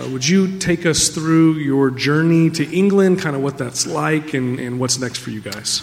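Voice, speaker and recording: Over music in the background, a man with a fairly high pitch and ordinary pitch variation talks at a fairly slow pace with hardly any pauses. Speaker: church elder. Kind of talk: interview. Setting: church stage.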